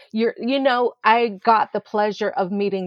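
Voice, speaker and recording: A woman's medium-pitched, plain, everyday voice in an American accent, fairly slow and with fairly even intonation. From Florida, St. Petersburg. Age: 60s. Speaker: children's entertainer and educator. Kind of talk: interview.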